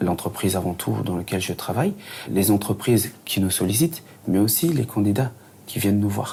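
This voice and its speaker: A fairly low-pitched man at a moderate pace. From New Caledonia (Lifou, Loyalty Islands). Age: 30s. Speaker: recruitment assistant. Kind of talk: interview testimony. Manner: halting, many fillers.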